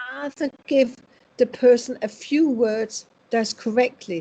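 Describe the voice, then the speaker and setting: A woman with a Danish accent speaks at a fairly slow pace in a dark, mellow tone with ordinary pitch variation. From Denmark. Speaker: spiritual medium. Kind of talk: interview.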